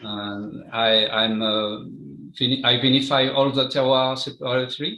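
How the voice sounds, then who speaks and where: The speaker is a man with a French accent. His intonation remains fairly even. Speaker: champagne winemaker. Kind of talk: interview. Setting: live stream. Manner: halting.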